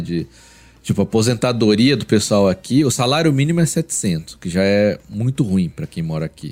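A man talks at a moderate pace. He has an unremarkable speaking voice with a fairly low pitch. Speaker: podcast co-host and pastor. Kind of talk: casual chat.

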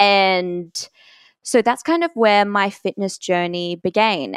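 A woman talks with an Australian accent. The sound is dry and close with no echo, on a very clean recording with a silent background. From Australia, Brisbane. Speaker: health coach. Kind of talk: casual interview chat.

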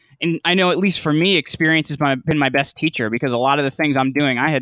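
A man speaks in a fairly high voice with ordinary pitch variation. It is an ordinary speaking voice. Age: 30s. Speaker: podcast host and media entrepreneur. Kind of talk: interview.

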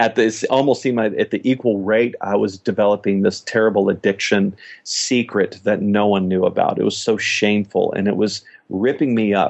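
Fairly low in pitch and fairly even in intonation, a man talks in a normal speaking voice. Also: moderate pace, very even loudness. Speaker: youth ministry leader, former youth pastor. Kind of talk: podcast interview, personal testimony.

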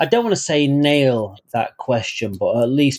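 A man with a northern English accent talks at a moderate pace, recorded dry and close with no echo. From northern England. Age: 40s. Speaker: author. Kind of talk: interview.

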